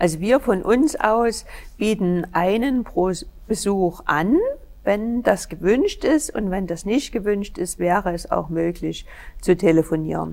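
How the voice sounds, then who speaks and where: Very slow delivery with lively intonation. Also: woman, medium pitch for a woman. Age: 50s. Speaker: pastoral counselor in training. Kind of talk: casual chat.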